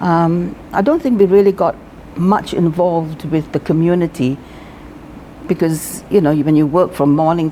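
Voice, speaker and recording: A woman with a very deep, low voice and ordinary pitch variation speaks over noticeable background noise. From Singapore. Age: 70s. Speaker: retired teacher. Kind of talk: interview.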